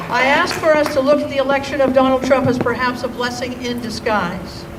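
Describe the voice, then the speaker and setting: Through noticeable background noise, a woman with a high voice speaks with fairly even intonation. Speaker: senior minister, spiritual leader. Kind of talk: rally speech. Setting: outdoors rally with crowd responding.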